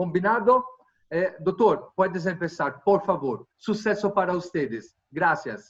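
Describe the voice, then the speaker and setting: A man's high-pitched voice with lively intonation at a very slow pace. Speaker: webinar host. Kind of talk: webinar introduction.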